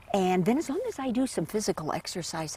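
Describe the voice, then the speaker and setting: A woman at a fairly quick pace, very wide pitch swings, noticeable background noise. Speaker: hall of fame inductee. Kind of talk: documentary interview, reminiscing. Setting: on location, home visit.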